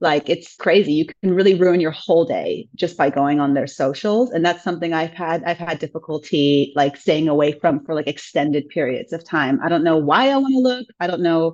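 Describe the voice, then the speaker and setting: Speaking in a normal speaking voice at a fairly quick pace, this voice has lively intonation, hardly any pauses, and a quiet background. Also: woman, fairly low pitch for a woman. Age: 30s. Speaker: podcast guest sharing breakup story. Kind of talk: personal testimony in interview.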